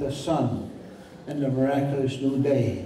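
A man speaks at a fairly slow pace. Light background noise and audible room echo can be heard. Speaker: spiritual leader. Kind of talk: thanksgiving address at a festival. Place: hall.

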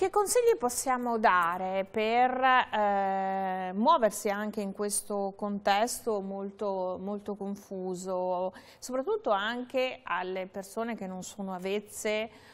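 A woman speaks at a very slow pace. Her intonation stays fairly even. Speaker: tv host. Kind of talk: interview on consumer topics. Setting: studio. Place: studio.

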